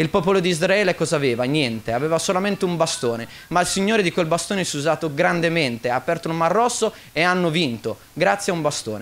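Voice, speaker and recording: A man speaks at a very fast pace with a high pitch. His intonation is lively. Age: 20s. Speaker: church member giving testimony. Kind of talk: testimony. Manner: halting. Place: church. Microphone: studio mic.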